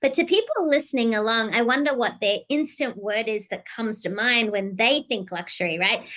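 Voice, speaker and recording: A woman with an Australian accent talks at a fairly quick pace with hardly any pauses, her fairly high voice bright, sharp, and energetic with lively intonation. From Australia, Sydney. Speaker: keynote speaker and executive strategist. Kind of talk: podcast interview.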